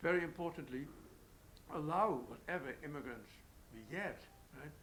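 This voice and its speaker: A man speaks with a Dutch accent. His pace is moderate and his pitch varies in an ordinary way. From Netherlands. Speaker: economist. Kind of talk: panel interview. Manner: halting, many fillers.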